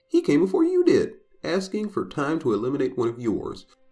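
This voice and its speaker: With music in the background, a man performs a put-on character voice at a fairly quick pace. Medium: read story. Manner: sinister.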